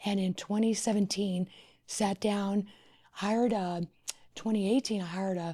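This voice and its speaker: A woman speaks at a moderate pace with a dark, mellow tone and a somewhat breathy quality. The sound is dry and close with no echo, on a very clean recording with a silent background. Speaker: wedding planner. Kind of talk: casual chat.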